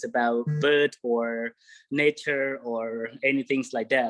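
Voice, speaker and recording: Someone with a Cambodian accent is heard in a dry, close sound with no echo. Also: man. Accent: Cambodian (Khmer). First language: Khmer. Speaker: bird guide. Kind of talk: online presentation. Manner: halting.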